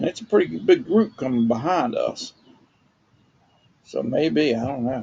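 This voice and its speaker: A man talks at a fairly slow pace with a Southern US accent. His pauses are long and frequent. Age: old. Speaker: retired homeowner vlogger. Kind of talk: casual talk to camera. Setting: outdoors.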